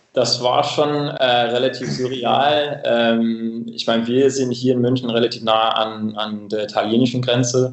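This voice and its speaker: Over noticeable background noise, a man with a medium-pitched voice speaks with hardly any pauses. His intonation stays fairly even. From England, Cambridge. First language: English (speaking German). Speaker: coffee equipment company representative. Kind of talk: casual interview. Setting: remote call. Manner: halting, many filler sounds.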